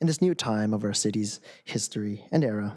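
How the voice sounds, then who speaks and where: Low-ish and dark, this man's mellow voice carries an American accent at a fairly low pitch. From Camarillo, California. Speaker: college student, public commenter. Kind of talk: public comment speech. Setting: city council chamber.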